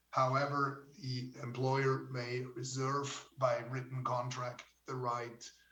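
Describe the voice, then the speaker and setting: With audible room echo, a man speaks very slowly at a medium pitch in a monotone, flat intonation. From Switzerland. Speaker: judge. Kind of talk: conference talk. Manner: halting.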